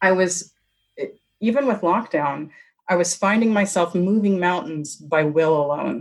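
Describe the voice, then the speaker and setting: A woman speaks in a normal speaking voice with an American accent, her pitch fairly low. She goes at a moderate pace with ordinary pitch variation. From US West. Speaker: actress and author. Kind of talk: casual interview chat.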